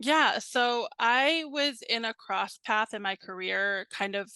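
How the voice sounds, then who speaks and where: A woman with an American accent has a bright, sharp tone. The sound is dry and close with no echo, and the background is quiet. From Virginia, US. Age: 30s. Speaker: customer success team lead. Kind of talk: casual interview.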